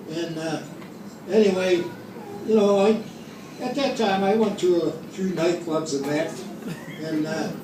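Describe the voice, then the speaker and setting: Noticeable background noise behind a man speaking at a moderate pace, high in pitch with ordinary pitch variation. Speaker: grandfather. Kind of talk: family storytelling.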